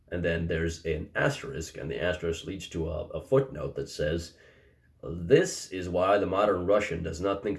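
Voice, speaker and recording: A man mumbles at a fairly quick pace in a very deep, low, somewhat breathy voice. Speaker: philosophy commentator. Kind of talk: casual commentary to camera. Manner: slightly mumbled.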